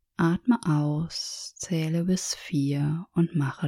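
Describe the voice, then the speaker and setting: The voice has a calm, soothing tone. It moves at a very slow pace. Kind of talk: guided meditation. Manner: slow, calm and soothing, with long pauses; gentle, even and instructive.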